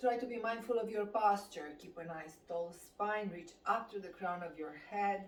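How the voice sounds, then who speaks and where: A woman with a Romanian accent, calm tone and fairly slow pace, in audible room echo. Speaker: fitness instructor. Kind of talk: guided exercise class. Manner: calm, slow.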